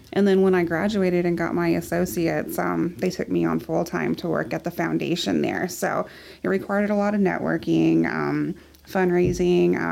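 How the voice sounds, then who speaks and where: At a moderate pace, a woman speaks with a Texan accent. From West Texas, Midland. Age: 30s. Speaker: photographer and small business owner. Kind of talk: casual interview.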